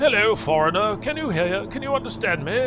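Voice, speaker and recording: A man speaks with fairly even intonation. There is noticeable background noise and audible room echo. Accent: English. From England. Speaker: flight sim streamer. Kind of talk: livestream commentary. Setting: livestream. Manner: casual, hesitant with fillers.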